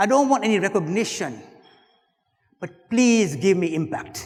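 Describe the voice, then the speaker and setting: This man talks at a moderate pace with a high pitch. His pitch varies in an ordinary way. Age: 60s. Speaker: keynote speaker. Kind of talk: motivational keynote speech.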